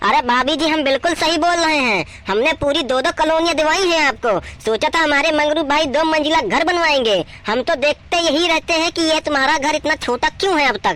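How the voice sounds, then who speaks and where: A cartoonish character voice speaks at a high pitch and a fairly quick pace. Light background noise sits behind it. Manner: boastful, smooth.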